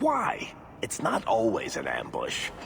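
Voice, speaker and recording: Against clear background noise, a man performs a put-on character voice at a fairly slow pace. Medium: machinima.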